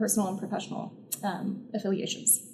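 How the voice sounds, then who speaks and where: A soft-spoken woman at a fairly high pitch, with noticeable background noise and audible room echo. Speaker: researcher on violent extremism. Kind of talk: conference presentation. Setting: symposium audience in a university. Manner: frequent filler words.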